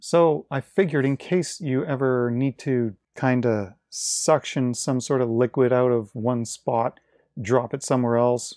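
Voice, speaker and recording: Against a quiet background, a man with a dark, mellow tone speaks fairly slowly with ordinary pitch variation. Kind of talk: casual product unboxing commentary. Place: workshop.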